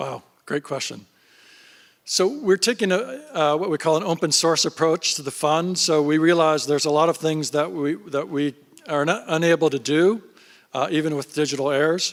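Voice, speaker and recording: A man with an ordinary speaking voice, fairly high pitch, ordinary pitch variation and a moderate pace. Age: 60s. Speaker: fund founder and investor. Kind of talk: panel interview on stage.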